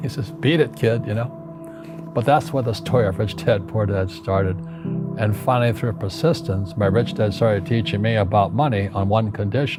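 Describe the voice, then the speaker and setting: Against music in the background, a man speaks at a medium pitch and moderate pace with very wide pitch swings. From United States. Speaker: author and businessman. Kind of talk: storytelling anecdote.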